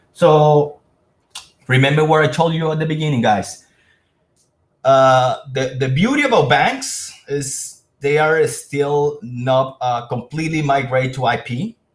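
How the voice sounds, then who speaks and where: At a fairly slow pace, a man speaks in a fairly high, somewhat breathy voice with ordinary pitch variation. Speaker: sales presenter. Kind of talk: webinar presentation.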